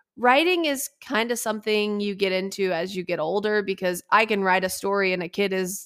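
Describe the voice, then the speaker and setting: A woman speaks at a fairly quick pace in an ordinary speaking voice. Her pitch sits at a medium level with ordinary pitch variation. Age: 20s. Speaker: motorsport journalist and podcast host. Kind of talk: casual interview chat.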